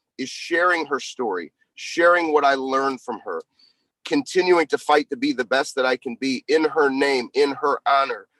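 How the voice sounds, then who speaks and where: A man talks at a moderate pace in a fairly high pitch with a bright, sharp tone. The sound is dry and close, with no echo. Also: ordinary pitch variation. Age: 40s. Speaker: performance coach and speaker. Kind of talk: live audio room conversation.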